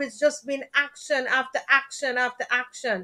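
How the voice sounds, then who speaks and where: With a Jamaican accent, a woman projects her high, raised voice at a fairly slow pace. Her tone is bright and sharp. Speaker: talk show host. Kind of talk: live stream talk show. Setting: live stream.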